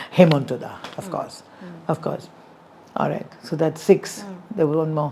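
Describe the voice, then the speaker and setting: Over noticeable background noise, a woman with a very deep, low pitch speaks at a moderate pace, her intonation fairly even but her loudness swinging widely. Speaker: singer. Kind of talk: interview answer.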